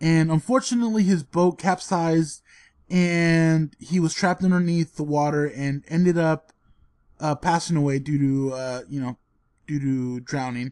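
This man has an ordinary speaking voice, fairly high in pitch, with ordinary pitch variation at a moderate pace. The sound is dry and close with no echo, and the background is quiet. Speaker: podcast co-host. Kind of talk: casual banter podcast.

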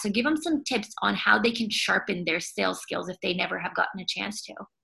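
Her tone bright and sharp, a woman speaks at a fairly quick pace with vocal fry and ordinary pitch variation. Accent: American. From United States. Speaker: podcast host, sales entrepreneur. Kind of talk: interview podcast. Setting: video call.

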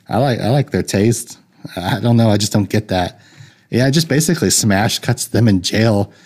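A man speaks at a moderate pace in a medium pitch with an ordinary speaking voice, ordinary pitch variation and very even loudness. The recording is very clean, with a silent background. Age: 30s. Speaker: film podcast host. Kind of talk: solo casual review monologue. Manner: rambling with frequent fillers and restarts.

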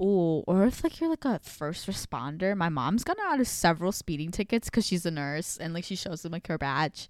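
Her voice is an unremarkable speaking voice, as a woman with a fairly low pitch talks at a moderate pace with lively intonation in a dry, close sound with no echo. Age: young. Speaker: college student podcast co-host. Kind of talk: casual chat.

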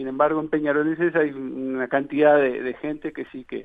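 Intonation stays flat and monotone. The pace is moderate. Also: man. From Uruguay, Montevideo. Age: 30s. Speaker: candidate for football club presidency. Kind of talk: radio interview. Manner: halting, many fillers.

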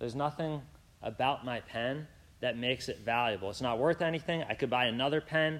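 Against a very clean recording with a silent background, a man speaks at a fairly quick pace. He has a plain, everyday voice at medium pitch with ordinary pitch variation. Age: 20s. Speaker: preacher. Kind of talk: sermon. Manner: casual, with many fillers.

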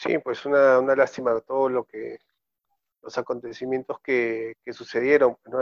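Words come out fairly slowly. The intonation stays monotone and flat. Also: man. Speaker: football commentator. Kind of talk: casual football discussion.

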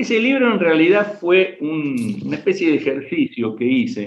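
Speaking at a fairly slow pace in a Rioplatense accent, a man swings his pitch very widely. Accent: Argentine Spanish (rioplatense, voseo). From Argentina, Rafaela, Santa Fe. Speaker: history professor, writer and war veteran. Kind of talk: interview with story readings.

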